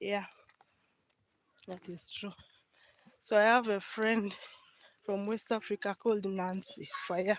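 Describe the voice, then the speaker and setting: In a Ugandan accent, the speaker leaves long, frequent pauses. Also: fairly slow pace. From eastern Uganda. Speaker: village life vlogger. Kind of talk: live stream walking vlog. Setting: outdoors walking in the village.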